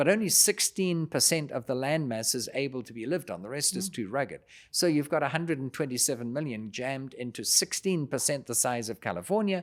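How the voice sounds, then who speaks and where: In a New Zealand accent, a man with a fairly high voice talks at a fairly quick pace with lively intonation and hardly any pauses, on a very clean recording with a silent background. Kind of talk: informal, explanatory.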